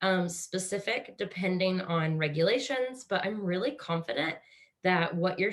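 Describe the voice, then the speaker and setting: A woman with a Kansas accent speaks at a moderate pace, her fairly low pitch rising and falling in an ordinary way. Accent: American (Kansas), noticeable. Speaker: webinar host, real estate agent. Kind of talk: webinar presentation. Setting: video call.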